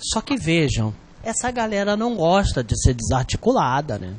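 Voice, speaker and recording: A man's high voice with very wide pitch swings. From Rio de Janeiro, Brazil. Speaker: exam prep teacher. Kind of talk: online lecture. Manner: animated.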